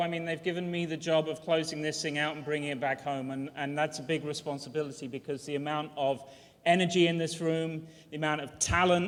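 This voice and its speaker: A fairly high-pitched man with a British accent, talking at a fairly quick pace. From Britain. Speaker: university dean. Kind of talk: commencement speech. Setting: ceremony hall with audience.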